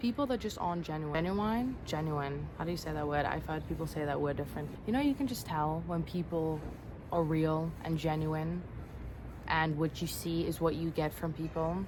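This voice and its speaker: At a moderate pace, a woman speaks in a very deep, low pitch with ordinary pitch variation, and the room echo is audible. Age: 20s. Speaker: vlogger. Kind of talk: casual vlog monologue. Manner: animated.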